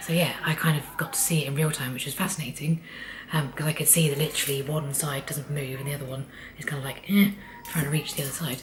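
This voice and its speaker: A woman with a British accent speaks at a very fast pace in a very deep, low pitch. Her intonation is fairly even, and background noise is noticeable. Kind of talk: casual talk to camera.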